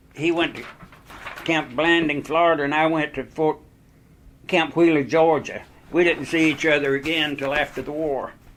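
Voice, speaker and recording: This man talks at a moderate pace in a fairly high pitch, with long, frequent pauses. His intonation is monotone and flat, and there is noticeable background noise. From Greensboro, North Carolina. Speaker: war veteran. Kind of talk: oral history interview answer.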